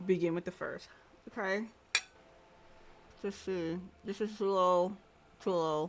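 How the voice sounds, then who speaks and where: The pace is fairly slow. Long pauses come often. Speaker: game streamer. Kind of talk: gameplay commentary. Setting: live stream. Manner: loud.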